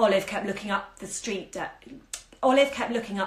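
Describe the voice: Plain reading aloud, pitch varying in an ordinary way.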